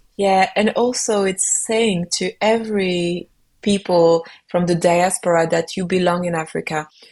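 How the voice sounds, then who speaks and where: Here a woman talks at a medium pitch. Her pace is fairly slow and her intonation fairly even. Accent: French. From Belgium, Cameroonian father. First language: French. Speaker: singer-songwriter, kora player. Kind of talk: interview conversation.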